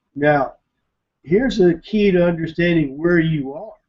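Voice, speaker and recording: A man's speech has ordinary pitch variation and moves at a moderate pace. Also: quiet background. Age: 60s. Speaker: internet marketer, webinar presenter; webinar presenter. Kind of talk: webinar presentation. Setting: online webinar. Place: home room. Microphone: webcam.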